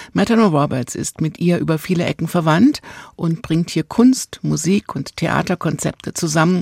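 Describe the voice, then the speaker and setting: A woman with a fairly low voice and vocal fry talks at a fairly quick pace with ordinary pitch variation. The sound is dry and close, with no echo. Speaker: radio host. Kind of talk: radio presentation.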